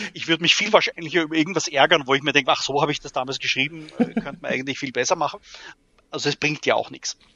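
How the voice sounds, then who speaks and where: Talking at a very fast pace, a man with a fairly high pitch keeps to ordinary pitch variation. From Austria, Graz. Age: 40s. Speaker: role-playing adventure writer. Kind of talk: interview.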